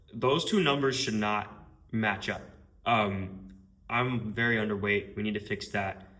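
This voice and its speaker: A man with a bright, sharp tone and fairly low pitch speaks fairly slowly amid audible room echo. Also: ordinary pitch variation. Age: 20s. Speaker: marketing agency owner. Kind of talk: casual vlog monologue. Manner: casual, filler-heavy.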